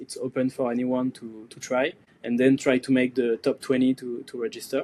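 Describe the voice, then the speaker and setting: Speaking with a French accent, a man keeps a fairly slow pace. His medium-pitched voice has a dark, mellow tone. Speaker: surfboard core maker and event organizer. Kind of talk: podcast interview. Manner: hesitant, many fillers.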